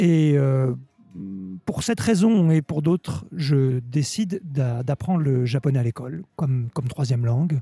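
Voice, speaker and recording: Speaking at a fairly slow pace, a man with a dark, mellow, somewhat breathy tone uses lively intonation in a dry, close recording with no echo. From Normandy, France. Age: 50s. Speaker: sake expert. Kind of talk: interview. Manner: halting, repeats words.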